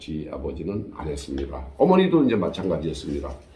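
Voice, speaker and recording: This man's voice has vocal fry. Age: 70s. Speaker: storyteller vlogger. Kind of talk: personal storytelling monologue. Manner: casual, conversational with fillers.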